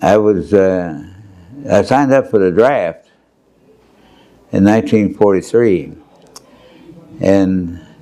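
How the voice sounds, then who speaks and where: A man's fairly low voice in an American accent, very slow and full of long, frequent pauses, with ordinary pitch variation and very even loudness. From Pennsylvania, USA. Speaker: World War II Marine veteran. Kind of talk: oral history interview answer. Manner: conversational, hesitant with fillers.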